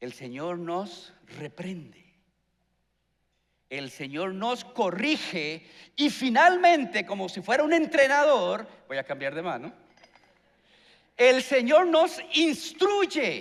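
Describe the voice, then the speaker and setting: A high-pitched male voice with very wide pitch swings, big swings in loudness, a very slow pace, and long, frequent pauses. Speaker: pastor. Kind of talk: sermon.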